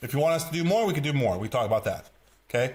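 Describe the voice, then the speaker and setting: A man with an Eastern European accent talks at a very fast pace in a fairly high pitch, his tone animated and his intonation lively. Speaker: sales coach. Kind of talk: tutorial.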